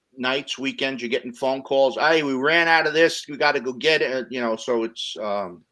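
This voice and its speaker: Bright and sharp in tone, a man speaks at a moderate pace with hardly any pauses. His medium pitch shows ordinary variation. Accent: New Jersey. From New Jersey, US. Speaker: interview guest, former restaurant and delivery worker. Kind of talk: casual interview chat.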